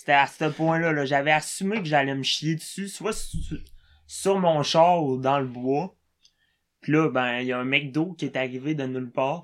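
In a very clean recording with a silent background, a man with a fairly high pitch talks fairly slowly in a normal speaking voice, with ordinary pitch variation. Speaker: comedian. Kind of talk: casual chat.

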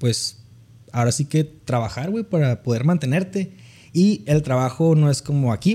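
The voice has a dark, mellow tone, somewhat breathy, with ordinary pitch variation and a moderate pace. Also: man. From Mexicali, Baja California, Mexico. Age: 20s. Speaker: economist. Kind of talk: casual chat.

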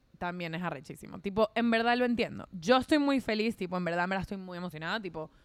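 In a very clean recording with a silent background, a woman uses an ordinary speaking voice with lively intonation at a fairly quick pace. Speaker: podcast co-host. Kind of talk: casual chat.

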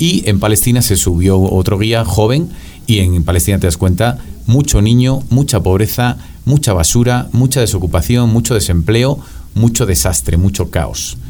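With a Spanish accent, a man speaks at a moderate pace and a fairly low pitch, his pitch swinging very widely while his loudness stays very even, with music in the background. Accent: Spanish (Spain). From Spain, Madrid. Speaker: professor. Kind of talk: casual chat.

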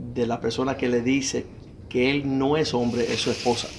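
This is a man speaking. His pace is fairly slow. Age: 50s. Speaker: pastor and author. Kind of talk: interview testimony.

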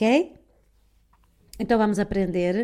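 A woman speaks with a strong northern Portuguese accent in a dark, mellow tone. The recording is very clean, with a silent background. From northern Portugal. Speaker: online wellbeing coach. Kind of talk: casual live stream chat with viewers. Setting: live stream with headphones. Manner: calm, soothing.

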